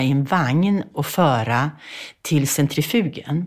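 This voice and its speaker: At a very slow pace, a woman speaks in a very deep, low pitch with lively intonation. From Sweden, Bergslagen. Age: 80s+. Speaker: author. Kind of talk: interview.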